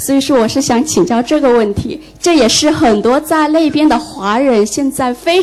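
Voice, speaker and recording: A woman talks at a moderate pace with a high pitch and lively intonation. Music plays in the background. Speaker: audience member, former translator. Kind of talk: audience question.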